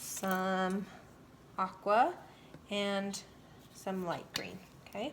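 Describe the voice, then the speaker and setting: A woman's medium-pitched voice at a very slow pace, fairly even in intonation, with long, frequent pauses. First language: not English. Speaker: painting instructor. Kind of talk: tutorial. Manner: casual, chatty.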